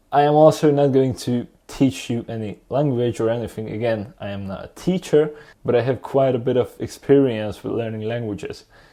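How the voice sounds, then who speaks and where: Against a quiet background, a man with a Hungarian accent talks at a moderate pace in a dark, mellow tone with ordinary pitch variation. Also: medium pitch for a man, hardly any pauses. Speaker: YouTuber, language learner. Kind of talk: tutorial monologue. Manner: casual, conversational.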